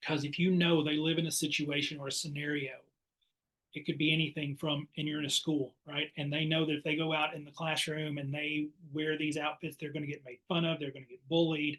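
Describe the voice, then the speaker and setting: A man's fairly high voice, bright and sharp in tone, at a fairly quick pace. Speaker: play therapist and counselor education professor. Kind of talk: webinar presentation. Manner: fast.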